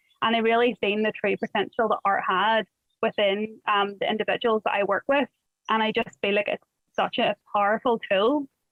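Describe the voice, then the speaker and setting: Speaking with a Northern Irish accent, this voice holds a moderate pace, very even loudness and ordinary pitch variation. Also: woman, fairly high pitch for a woman. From Northern Ireland. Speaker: art workshop facilitator. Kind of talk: workshop introduction.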